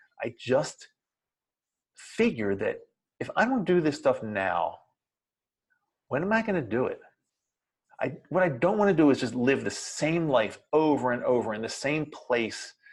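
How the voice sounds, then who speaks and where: On a very clean recording with a silent background, a man with an American accent talks at a fairly high pitch with vocal fry, very wide pitch swings, an animated tone, a fairly slow pace and long, frequent pauses. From US Mid-Atlantic, Baltimore, Maryland. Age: 60s. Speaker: RV travel vlogger. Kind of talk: motivational vlog monologue.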